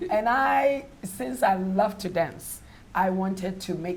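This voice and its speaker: A woman with an American accent speaks at a medium pitch, her voice somewhat breathy, with audible echo in the room. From Ghana. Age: 60s. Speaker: fitness instructor. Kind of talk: talk show interview. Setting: studio with audience.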